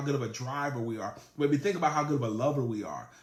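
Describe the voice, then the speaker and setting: A man with a fairly high, somewhat breathy voice speaks in an animated tone. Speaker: sales trainer. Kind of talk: live-streamed training talk.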